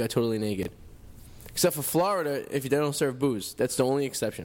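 With an American accent, the words come out at a very fast pace. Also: man. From Revere, Massachusetts. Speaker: radio host. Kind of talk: casual chat. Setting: studio.

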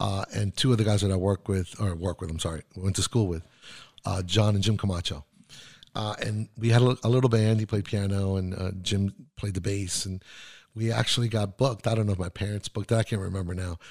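A fairly quick, somewhat breathy man at a fairly low pitch, fairly even in intonation, in a very clean recording with a silent background and a dry, close sound with no echo. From South Florida (Miami), born in Chile. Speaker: mix engineer. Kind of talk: casual interview. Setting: studio.

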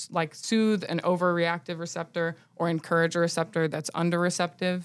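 In an American accent, a woman talks at a moderate pace with a fairly low pitch and monotone, flat intonation. The recording is very clean, with a silent background. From US South, Nashville, Tennessee. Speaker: cannabis business owner. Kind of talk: casual interview.

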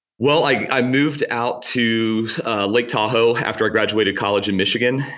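A man with a slight Virginia accent speaks at a moderate pace in a bright, sharp tone with fairly even intonation, on a very clean recording with a silent background. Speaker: tourism director. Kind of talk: casual interview chat.

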